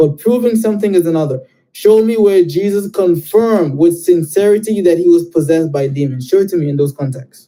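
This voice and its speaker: Loud and fairly quick, a man speaks with a high pitch, a dark, mellow tone and ordinary pitch variation. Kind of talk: heated debate.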